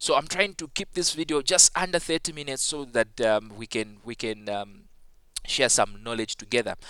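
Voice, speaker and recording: In a non-native accent, a man talks at a moderate pace and medium pitch, his tone bright and sharp with lively intonation and big swings in loudness. The recording is very clean, with a silent background. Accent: non-native English accent noted by self. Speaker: ICT teacher. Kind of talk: tutorial. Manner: halting with many fillers.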